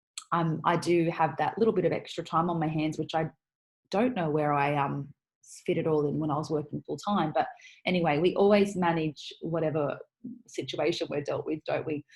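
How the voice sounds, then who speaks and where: Speaking at a fairly quick pace, a woman has a very deep, low pitch and a somewhat breathy quality. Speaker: podcast host. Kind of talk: casual monologue. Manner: fast; animated.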